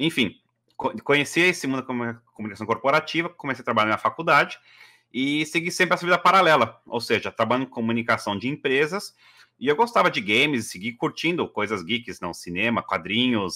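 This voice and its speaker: Against a quiet background, a man with a bright, sharp tone talks at a fairly quick pace. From Brazil, São Paulo. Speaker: communications executive; podcast guest. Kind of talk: interview; interview answer. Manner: hesitant, many fillers. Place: home room.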